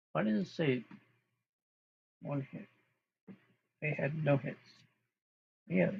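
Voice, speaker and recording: A man speaks with a fairly high pitch, vocal fry and lively intonation. His pace is fairly slow, broken by long, frequent pauses. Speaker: amateur sports commentator. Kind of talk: live play-by-play commentary. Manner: loud; casual, halting with self-corrections.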